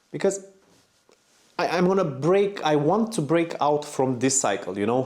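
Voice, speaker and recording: This man speaks with a non-native accent. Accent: non-native English speaker. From Romania. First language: Romanian. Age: 40s. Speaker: motorcycle vlogger. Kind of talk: personal vlog monologue. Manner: halting, repeats words.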